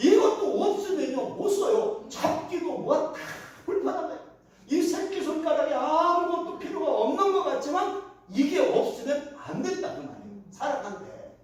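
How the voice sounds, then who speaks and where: With extremely high pitch for a man, very wide pitch swings, and big swings in loudness, a man speaks at a moderate pace amid noticeable background noise and audible room echo. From Korea, Chungcheong (Daejeon). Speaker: retired pastor, guest preacher. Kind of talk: sermon.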